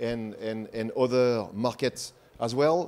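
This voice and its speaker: Pitch varies in an ordinary way, and the recording is very clean with a silent background. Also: man. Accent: French. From France. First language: French. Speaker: industry presenter. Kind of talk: conference presentation.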